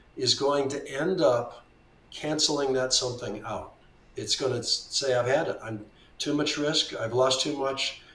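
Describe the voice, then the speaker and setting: Amid noticeable background noise and audible room echo, a man talks fairly slowly in a fairly high pitch. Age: 70s. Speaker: veteran trader. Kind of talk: interview conversation.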